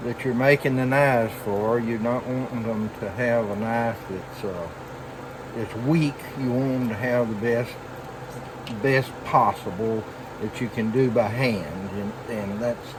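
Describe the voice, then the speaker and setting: A man with a Southern US accent speaks fairly slowly at a medium pitch, with fairly even intonation and long, frequent pauses. The recording has noticeable background noise and audible room echo. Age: 70s. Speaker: knifemaker. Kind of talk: tutorial. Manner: halting.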